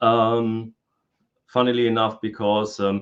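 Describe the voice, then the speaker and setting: A man speaks at a medium pitch with monotone, flat intonation. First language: German and Spanish. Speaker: historical fencing instructor. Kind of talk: interview. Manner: hesitant, many fillers.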